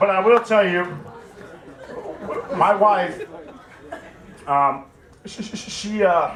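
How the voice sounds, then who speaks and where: Noticeable background noise and audible room echo surround a man who speaks at a high pitch with ordinary variation, at a very slow pace full of long, frequent pauses. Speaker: army veteran. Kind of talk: casual talk to an audience. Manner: halting, many repetitions.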